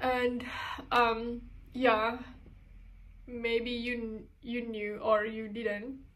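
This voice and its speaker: A woman speaks very slowly, with long, frequent pauses. Her intonation is monotone and flat, and the room echo is audible. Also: fairly high pitch for a woman. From Indonesia. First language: Indonesian. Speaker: sewing and design content creator. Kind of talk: personal testimony. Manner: halting.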